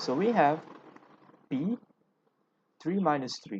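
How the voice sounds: A man talks slowly in a fairly high pitch with a husky, rough edge. His pitch swings widely, and the sound is dry and close with no echo.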